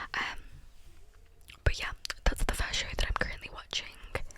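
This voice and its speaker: Someone is whispering at a fairly slow pace over noticeable background noise. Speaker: ASMR creator. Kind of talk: whispered ramble to camera. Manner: whispered, soft-spoken.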